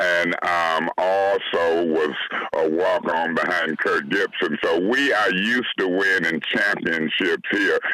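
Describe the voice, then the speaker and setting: There is noticeable background noise. Through it, a man speaks with an American accent. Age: 60s. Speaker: city councilman. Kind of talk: radio interview.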